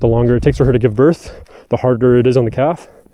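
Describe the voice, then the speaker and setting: With a Canadian Prairie accent, a man talks at a very fast pace. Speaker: farmer. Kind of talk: tutorial. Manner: casual; soft-spoken.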